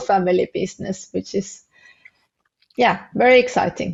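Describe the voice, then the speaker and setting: A woman with a non-native accent, medium pitch, and moderate pace. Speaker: family business consultant. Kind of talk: podcast interview. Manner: halting, many fillers.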